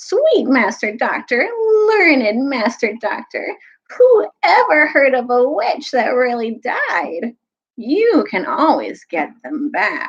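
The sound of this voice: A woman uses a put-on character voice, whiny and shrill with a slightly husky edge, fairly high in pitch, swinging widely in pitch at a slow pace.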